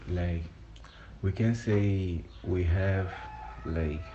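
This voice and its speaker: Speaking at a very slow pace with a Portuguese accent, a man uses a very deep, low pitch and ordinary pitch variation amid noticeable background noise. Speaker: vlogger. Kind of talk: personal voice note. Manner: halting.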